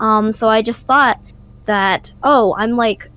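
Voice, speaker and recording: An ordinary speaking voice from a woman, fairly high in pitch, at a fairly slow pace with an American accent. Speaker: student podcast co-host. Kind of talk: casual chat.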